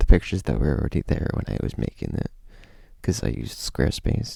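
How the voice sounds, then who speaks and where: A man speaks quietly. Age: 20s. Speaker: youtuber. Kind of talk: casual vlog talk. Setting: at home. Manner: kept quiet.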